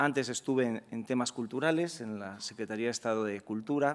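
An ordinary speaking voice comes at a fairly quick pace with ordinary pitch variation. The background is quiet. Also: man. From Spain. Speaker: law professor and director general; speaker. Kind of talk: lecture. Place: hall. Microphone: podium.

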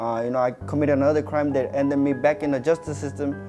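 Over clear background music, a man talks with fairly even intonation. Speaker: interviewee. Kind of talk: interview answer. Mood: calm, reflective. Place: studio. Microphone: lapel.

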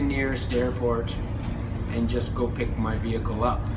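Loud background noise fills the clip. Over it, a man speaks at a fairly slow pace. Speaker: travel vlogger. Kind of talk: casual vlog chat. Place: boat. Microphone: phone near.

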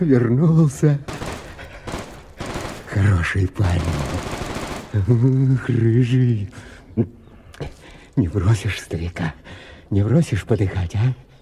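In a put-on, whiny character voice, a man talks fairly slowly at a medium pitch with lively intonation. Sound effects play in the background, and he takes long, frequent pauses. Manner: pleading, whining.

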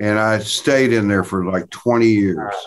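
A man with an American accent speaks at a fairly slow pace over light background noise. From US South, Tennessee. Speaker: session and touring guitarist. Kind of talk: interview. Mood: relaxed, reminiscing. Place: home room. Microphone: video call.

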